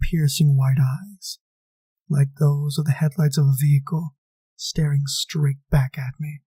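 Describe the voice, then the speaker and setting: The voice is somewhat breathy, with a dark, mellow tone, monotone, flat intonation and a fairly slow pace, in a dry, close sound with no echo. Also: man. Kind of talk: first-person horror story narration.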